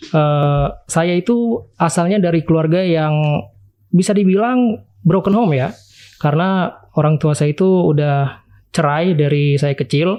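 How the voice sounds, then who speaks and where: A man speaks at a fairly slow pace in a high voice with ordinary pitch variation. His loudness stays very even. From East Jakarta, Indonesia. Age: 20s. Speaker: university student, interview guest. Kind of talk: personal confession interview. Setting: studio.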